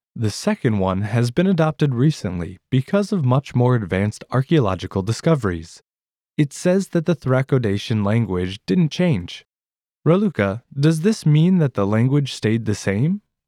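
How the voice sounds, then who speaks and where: In a dry, close sound with no echo, a man with a dark, mellow tone and medium pitch speaks at a moderate pace in an upbeat tone, his loudness very even and his pitch swinging very widely. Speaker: language teacher host. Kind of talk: educational lesson dialogue. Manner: friendly, upbeat.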